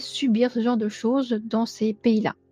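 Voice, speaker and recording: With music playing behind her, a woman speaks at a fairly high pitch in a dry, close sound with no echo. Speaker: true crime youtuber. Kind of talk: scripted narration; casual chat. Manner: monotone; hesitant with fillers.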